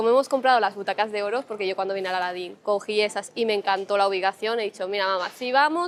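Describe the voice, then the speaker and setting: A woman rattles along at a very fast pace, her intonation fairly even. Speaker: travel vlogger. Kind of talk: travel vlog.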